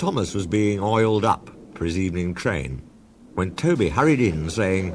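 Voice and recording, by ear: A speaker reading aloud in a natural voice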